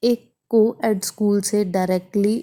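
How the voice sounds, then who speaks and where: In a very clean recording with a silent background, a woman speaks with a dark, mellow tone and monotone, flat intonation. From Haryana, India (near Ambala). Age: 30s. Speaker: vlogger and podcast host. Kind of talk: casual monologue podcast.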